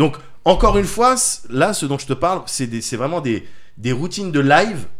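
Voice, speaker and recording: At a moderate pace, a man with a fairly high voice swings his pitch very widely and leaves long, frequent pauses. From France. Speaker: podcast co-host. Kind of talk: casual chat.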